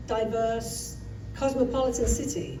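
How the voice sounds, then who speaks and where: With a London accent, a woman speaks at a fairly high pitch and fairly even intonation amid audible room echo and noticeable background noise. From England, London. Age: 70s. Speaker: storyteller. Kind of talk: live personal storytelling. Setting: stage with audience. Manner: halting, loses her place.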